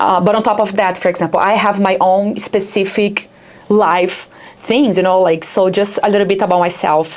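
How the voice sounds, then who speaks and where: Over noticeable background noise, a woman with a Brazilian accent speaks at a moderate pace and medium pitch, with fairly even intonation and very even loudness. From Brazil, Rio de Janeiro. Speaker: startup founder. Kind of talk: interview. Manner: halting, many fillers.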